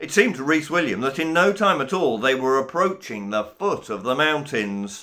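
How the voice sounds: A natural reading voice is heard throughout.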